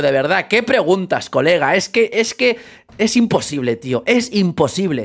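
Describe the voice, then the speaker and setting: A man's high-pitched, animated delivery at a fairly slow pace, with very wide pitch swings. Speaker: football YouTuber. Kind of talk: casual commentary vlog.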